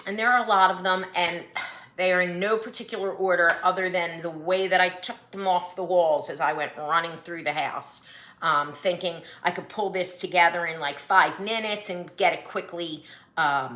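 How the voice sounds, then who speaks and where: A woman with a Philadelphia accent, fairly low in pitch, at a moderate pace with ordinary pitch variation, amid noticeable background noise. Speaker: cross-stitch vlogger. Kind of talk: casual vlog monologue. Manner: reads from notes.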